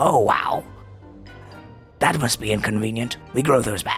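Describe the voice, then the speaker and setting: A man speaks at a moderate pace in a put-on character voice with a medium pitch, while music plays clearly in the background. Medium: actual play. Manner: polite, formal.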